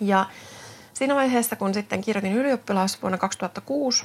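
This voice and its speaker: In a Swedish accent, the speaker talks at a moderate pace with ordinary pitch variation. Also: woman. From Finland, Tuusula (Finland-Swedish). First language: Swedish (speaking Finnish). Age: 30s. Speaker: physiotherapist and podcast host. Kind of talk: solo podcast monologue. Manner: hesitant, many fillers.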